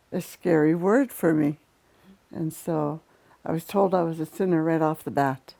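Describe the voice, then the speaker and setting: At a moderate pace, a woman speaks with a fairly low pitch, ordinary pitch variation and a dark, mellow tone. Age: 60s. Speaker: residential school survivor. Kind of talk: testimony.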